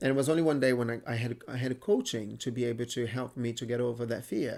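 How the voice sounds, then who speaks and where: A man in a Brazilian Portuguese accent, medium in pitch, at a very fast pace. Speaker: entrepreneur. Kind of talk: interview. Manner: animated.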